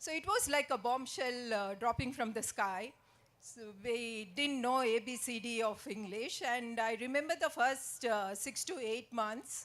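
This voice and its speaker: A woman's high voice with an Indian accent, ordinary pitch variation and a fairly slow pace. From India, Karnataka (Koppal). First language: Tulu. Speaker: author. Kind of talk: speech. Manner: hesitant, many fillers.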